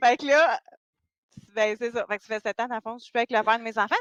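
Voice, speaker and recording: Very fast speech in a Quebec accent has a bright, sharp tone. The sound is dry and close with no echo over a quiet background. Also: woman. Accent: Québécois French. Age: 40s. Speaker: dating coach. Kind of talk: podcast interview.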